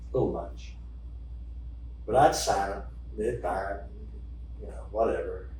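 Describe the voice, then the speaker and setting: Over noticeable background noise and audible room echo, a man talks with an American accent. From Oklahoma. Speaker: storyteller. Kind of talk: solo storytelling show.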